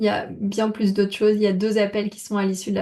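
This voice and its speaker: With a monotone, flat intonation, a woman talks at a medium pitch. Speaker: body painting trainer. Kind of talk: informational presentation to camera. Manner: hesitant with many fillers.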